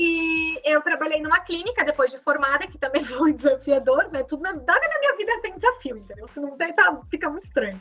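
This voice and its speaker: With a raised, projected voice at an extremely high pitch, a woman speaks at a fairly quick pace with hardly any pauses, lively intonation and big swings in loudness. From southern Brazil, Rio Grande do Sul (Farroupilha). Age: 20s. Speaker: entrepreneur and social media influencer. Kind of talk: casual interview.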